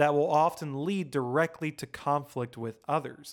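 On a very clean recording with a silent background, a man with a plain, everyday voice talks at a moderate pace. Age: 30s. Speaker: film podcast co-host. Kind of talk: reading prepared essay.

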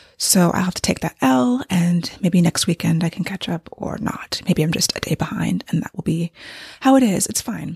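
A woman's fairly low voice with vocal fry, lively intonation and a moderate pace, in a dry, close sound with no echo. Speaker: fiction author and podcast host. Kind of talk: casual solo podcast monologue.

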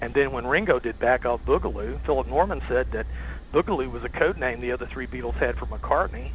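A man with a Tennessee accent speaks at a fairly quick pace over noticeable background noise. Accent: Southern US (Tennessee). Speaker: rock and roll historian and author. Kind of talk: casual interview chat.

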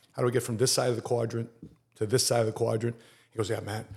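Somewhat breathy, with a dark, mellow tone, this voice moves at a very fast pace. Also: man. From Chicago, Filipino-American family. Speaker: Marine veteran and insurance entrepreneur. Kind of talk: casual interview chat.

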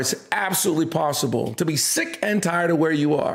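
Talking at a fairly quick pace, a man uses a high pitch with ordinary pitch variation. Audible room echo surrounds his voice. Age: 50s. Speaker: pastor. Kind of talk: casual chat. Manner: halting.

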